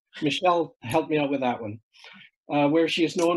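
A man speaks in a plain, everyday voice with fairly high pitch and ordinary pitch variation. The background is quiet. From Canada. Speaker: event host. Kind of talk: introducing a guest. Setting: video call. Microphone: video call.

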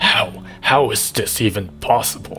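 With clear music in the background, a man performs a put-on character voice at a fairly slow pace. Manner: evil.

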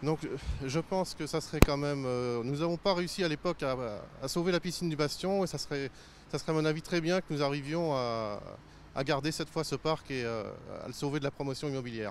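At a fairly quick pace, a man speaks with a fairly high pitch and ordinary pitch variation in a dry sound with no echo and light background noise. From La Rochelle, western France; France. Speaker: local resident; local resident or reporter. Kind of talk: public statement to camera. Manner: halting. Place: garden. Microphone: handheld.

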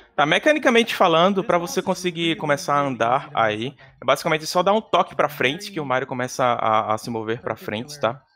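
With a Brazilian accent, a man speaks at a fairly quick pace with hardly any pauses. His pitch is fairly high and swings very widely. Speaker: speedrun commentator. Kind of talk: live commentary. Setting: live stream. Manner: animated.

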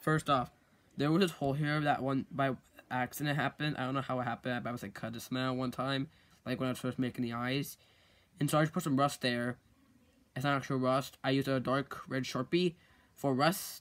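Fairly even in intonation, a man speaks at a fairly quick pace. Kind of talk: casual show-and-tell tutorial. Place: home room. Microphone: phone near.

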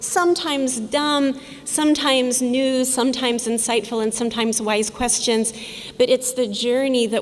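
A woman at a medium pace, her pitch varying in the usual way. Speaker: conference speaker. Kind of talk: public talk. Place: hall. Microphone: podium.

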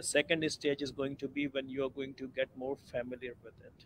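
A man's fairly high-pitched, plain, everyday voice at a moderate pace, dry with no echo over light background noise. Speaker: online class co-instructor. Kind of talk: online class discussion. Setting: video call. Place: home room. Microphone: video call.

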